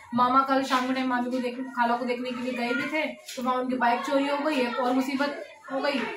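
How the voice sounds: A woman's high, fairly bright voice with little pitch movement, at a fairly quick pace, with audible room echo.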